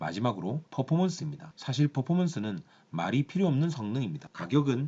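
This man talks at a fairly quick pace in a fairly high pitch, sounding somewhat breathy. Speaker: car reviewer. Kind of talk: product review talk to camera.

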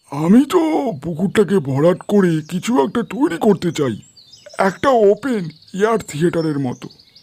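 Putting on a character voice, a man speaks with a high pitch and lively intonation. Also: moderate pace. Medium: read story.

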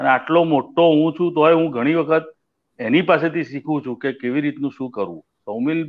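Fairly high in pitch, a man talks with fairly even intonation in an ordinary speaking voice. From Gujarat, India. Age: 60s. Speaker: music director; guest. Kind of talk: casual interview. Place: home room. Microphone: video call.

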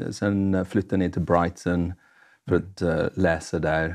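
Speaking with an English accent, a man has a very deep, low pitch and monotone, flat intonation. He goes at a fairly slow pace over a quiet background. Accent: English accent in Swedish. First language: English (speaking Swedish). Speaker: evangelist. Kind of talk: testimony. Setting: studio. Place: studio. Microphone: lapel.

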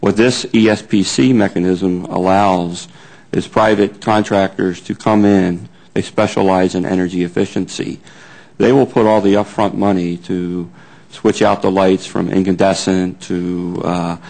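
Speaking at a fairly slow pace, a man has a very deep, low voice. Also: fairly even intonation. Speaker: witness. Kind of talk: interview answer. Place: hall. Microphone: podium.

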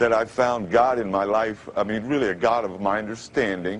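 A man's medium-pitched voice at a moderate pace with fairly even intonation, an unremarkable speaking voice. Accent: American. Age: 50s. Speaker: formerly homeless man with a radio announcer voice. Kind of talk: interview answer.

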